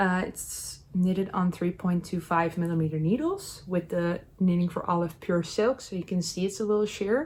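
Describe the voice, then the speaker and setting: A woman at medium pitch, somewhat breathy. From Netherlands. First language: Dutch. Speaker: knitting youtuber. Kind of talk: casual chat. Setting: home knitting corner. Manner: hesitant, many fillers.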